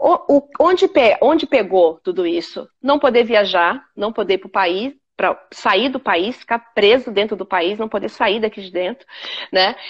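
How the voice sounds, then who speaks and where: A woman speaks at a fairly slow pace in a fairly high voice with lively intonation. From São Paulo, Brazil (Capão Redondo). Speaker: businesswoman. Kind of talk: casual interview on a live stream. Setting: online live stream video call. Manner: halting, many repetitions.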